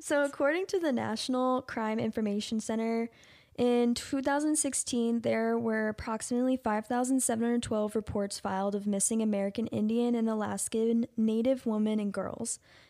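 A woman talks at a fairly high pitch in a dark, mellow tone, with hardly any pauses and very even loudness. The recording is very clean, with a silent background. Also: fairly even intonation, moderate pace. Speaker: podcast co-host. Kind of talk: true crime podcast discussion.

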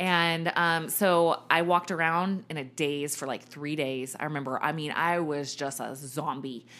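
A woman with an American accent and a very deep, low pitch speaks at a fairly slow pace with hardly any pauses and fairly even intonation. Her tone is bright and sharp, on a very clean recording with a silent background. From Virginia, Richmond. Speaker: personal trainer and nutrition coach. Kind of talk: casual interview, personal testimony.

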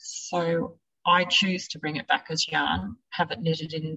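A woman talks in a fairly low voice with an Australian accent. Her intonation stays fairly even. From central west New South Wales, Australia. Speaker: sheep farmer. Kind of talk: interview.

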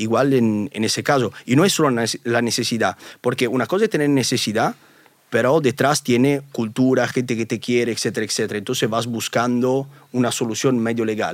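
A man's medium-pitched voice in an Italian accent, fairly quick in pace, with fairly even intonation. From Italy. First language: Italian (speaking Spanish). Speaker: YouTuber. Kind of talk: interview.

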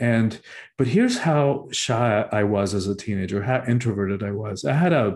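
A man with a Spanish accent speaks at a medium pitch in a dark, mellow tone. His pace is moderate, his pitch variation ordinary, and the background quiet. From Cuba. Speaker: spiritual teacher and author. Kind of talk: interview.

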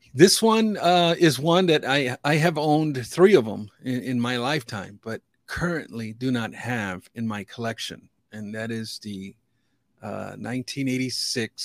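Captured in a very clean recording with a silent background and a dry, close sound with no echo, a man with an American accent speaks fairly slowly at medium pitch, with lively intonation and big swings in loudness. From US Midwest, Chicago area. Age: 50s. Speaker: sports card collector. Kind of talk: casual interview chat. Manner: halting, frequent repetitions.

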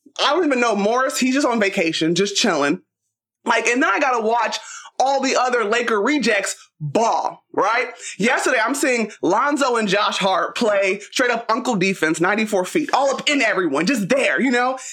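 Fairly high-pitched woman with an American accent, lively intonation and an animated tone, at a moderate pace with very even loudness. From Los Angeles. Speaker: basketball commentator. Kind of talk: casual chat.

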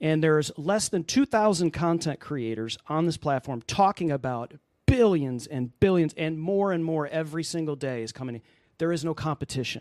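A man with an unremarkable speaking voice, fairly high in pitch, at a moderate pace with lively intonation, in a dry, close sound with no echo and a quiet background. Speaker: Amazon Live video creator. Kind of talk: casual interview. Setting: live video call.

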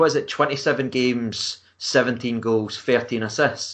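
Bright and sharp in tone, a man speaks at a medium pitch with a Scottish accent. The background is quiet. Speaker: football fan blogger. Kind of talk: casual chat.

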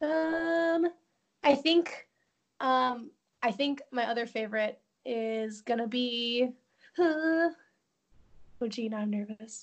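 A woman's high-pitched voice, very slow, with long, frequent pauses and ordinary pitch variation. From Chicago suburbs, Illinois. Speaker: theme park guest services worker. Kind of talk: casual chat.

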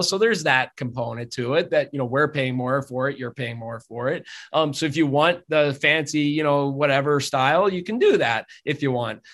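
Speaking at a moderate pace, a man with a northeastern Pennsylvania accent has a fairly high pitch. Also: quiet background. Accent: northeastern Pennsylvania American. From northeastern Pennsylvania (Drums, near Hazleton). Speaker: optometrist. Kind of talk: interview conversation.

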